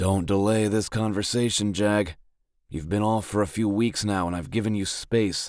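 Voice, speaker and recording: A man's put-on character voice, fairly low in pitch, at a moderate pace, on a very clean recording with a silent background. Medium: read story. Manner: persistent, direct.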